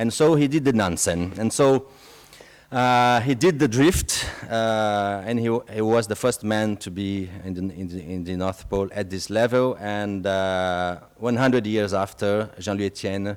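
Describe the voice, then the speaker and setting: A man in a French accent, fairly low-pitched with ordinary variation, at a fairly slow pace. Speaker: expedition program speaker. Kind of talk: public talk. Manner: halting, many fillers.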